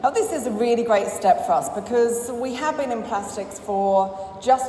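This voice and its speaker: A woman with an English accent speaks at a moderate pace with ordinary pitch variation, over noticeable background noise and audible room echo. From England. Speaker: business owner. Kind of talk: conference talk.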